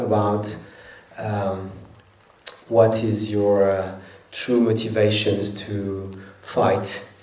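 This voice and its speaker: Over noticeable background noise, a man speaks very slowly in a fairly low pitch. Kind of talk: post-screening Q&A. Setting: stage with audience.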